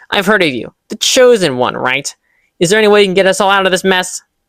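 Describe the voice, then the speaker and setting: A man puts on a character voice with a high pitch. He talks at a very fast pace. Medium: read story. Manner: quick, speedy.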